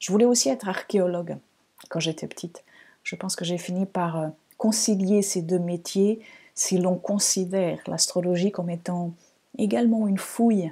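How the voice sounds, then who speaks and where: A woman's voice is dark and mellow, with a calm tone at a medium pitch. She leaves long, frequent pauses. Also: ordinary pitch variation, moderate pace, very clean recording, silent background. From Portugal, Lisbon. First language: Portuguese (speaking French). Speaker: astrologer, podcast host. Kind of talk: podcast monologue. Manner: calm, reflective, with some hesitations.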